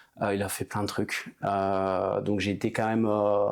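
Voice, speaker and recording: A man talks at a moderate pace. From Haute-Savoie, French Alps. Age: 30s. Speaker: entrepreneur, former hockey player. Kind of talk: casual interview. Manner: hesitant, many fillers.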